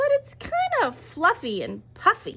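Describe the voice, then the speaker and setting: A woman puts on a squeaky character voice at an extremely high pitch. She keeps to a moderate pace. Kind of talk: read-aloud picture book. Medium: read story. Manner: musing, wondering.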